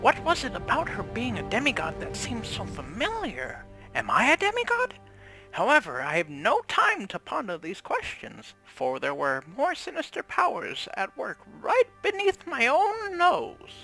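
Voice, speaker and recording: Someone performs a put-on character voice at a moderate pace. Faint music plays in the background. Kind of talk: fantasy storytelling narration. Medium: actual play.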